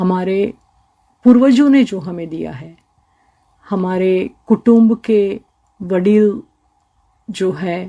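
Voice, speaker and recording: A woman's dark, mellow, medium-pitched voice with a Gujarati accent, marked by big swings in loudness and long, frequent pauses. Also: ordinary pitch variation. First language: Gujarati (speaking Hindi). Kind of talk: radio interview.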